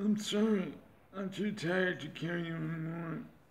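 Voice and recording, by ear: The voice is a put-on character at a middle pitch. An audible echo surrounds it. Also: moderate pace.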